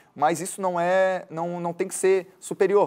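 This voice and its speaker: This man speaks with a high pitch. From Florianópolis, Brazil. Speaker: journalist and tour guide. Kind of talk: interview answer.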